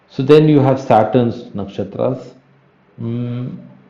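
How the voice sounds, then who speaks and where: A man talks at a very slow pace in a dark, mellow tone. There is audible echo from the room. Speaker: astrology teacher. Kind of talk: lecture. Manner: halting.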